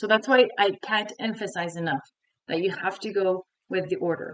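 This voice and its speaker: Her pitch sits in the medium range, with lively intonation. This woman speaks in a Montreal accent. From Quebec, Montreal. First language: French. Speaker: French teacher. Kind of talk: tutorial.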